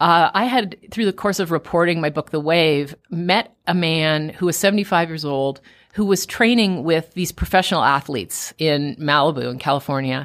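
Woman with an ordinary speaking voice, fairly low pitch and ordinary pitch variation, at a moderate pace with hardly any pauses, on a very clean recording with a silent background. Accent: Canadian. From Canada, Toronto. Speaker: best-selling author. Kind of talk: radio interview. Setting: radio studio.

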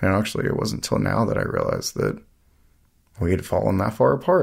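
Over a silent background in a very clean recording, a man with an American accent talks at a fairly quick pace. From US South, Asheville, North Carolina. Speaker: brother of a fallen Marine. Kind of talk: interview.

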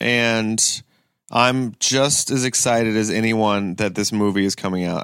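A man with an American accent and an ordinary speaking voice, fairly low in pitch with fairly even intonation, on a very clean recording with a silent background. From Ohio (Kent). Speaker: stand-up comedian and actor. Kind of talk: casual chat. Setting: in-person recording in Los Angeles.

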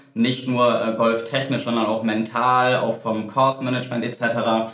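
A medium-pitched man at a moderate pace, with audible room echo and noticeable background noise. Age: 30s. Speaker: golf coach. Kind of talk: interview. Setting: studio.

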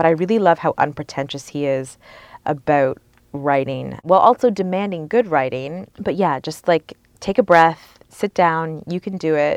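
A woman with a Canadian accent uses a normal speaking voice, pitched fairly low with ordinary pitch variation. She keeps a moderate pace against a quiet background, and the sound is dry and close with no echo. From Sarnia, Ontario, Canada. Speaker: investigative journalist and author. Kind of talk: interview conversation.

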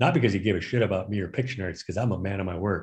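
A somewhat breathy male voice carries ordinary pitch variation. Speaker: board game inventor. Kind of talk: interview.

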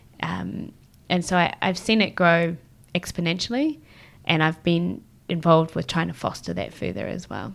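At a moderate pace, a woman speaks with a New Zealand accent. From New Zealand, Christchurch. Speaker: social enterprise lawyer. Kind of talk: casual chat.

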